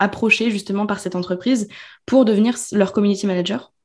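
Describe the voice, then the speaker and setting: Against a quiet background, a woman talks in a normal speaking voice at medium pitch with ordinary pitch variation. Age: 20s. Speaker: business coach. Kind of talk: casual chat.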